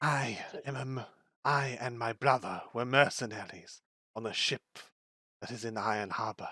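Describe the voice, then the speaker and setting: A man uses a put-on character voice at medium pitch and a fairly slow pace. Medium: actual play. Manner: sullen, curt.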